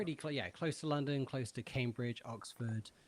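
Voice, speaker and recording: This very clean recording with a silent background features a man speaking with fairly even intonation. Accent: British. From England, Bedford. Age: 30s. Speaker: music producer and session guitarist. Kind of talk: podcast interview. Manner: hesitant, many fillers.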